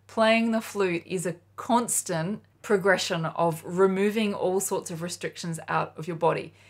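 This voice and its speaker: A woman speaks with an Australian accent. Her pitch is medium. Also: quiet background. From Australia, Sydney. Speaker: flute teacher. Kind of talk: tutorial. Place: home room.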